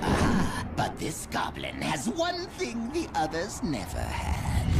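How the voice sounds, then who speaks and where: Someone does a cartoonish character voice at a fairly slow pace over loud background noise. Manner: gloating, theatrical.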